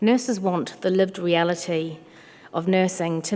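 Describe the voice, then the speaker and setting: Medium-pitched for a woman, her voice carrying fairly even intonation. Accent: slight English. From New Zealand, South Auckland. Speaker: chief nurse and health executive. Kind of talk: conference speech. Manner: formal.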